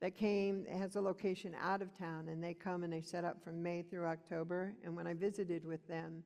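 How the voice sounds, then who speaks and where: A woman's normal speaking voice, fairly low in pitch, at a fairly quick pace. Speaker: rural community speaker. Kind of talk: conference presentation.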